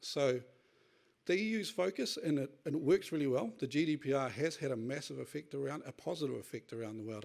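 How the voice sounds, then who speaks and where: A man speaks at a very fast pace. He has a New Zealand accent. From New Zealand, Northland (Kawakawa). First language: Te Reo Māori. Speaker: tech industry speaker on data sovereignty. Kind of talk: conference talk. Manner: hurried.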